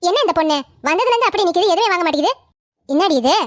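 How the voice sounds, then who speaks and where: Using a cartoonish character voice, a woman talks very fast at an extremely high pitch, her intonation lively and her loudness very even. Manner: warm, motherly, addresses customers as ma.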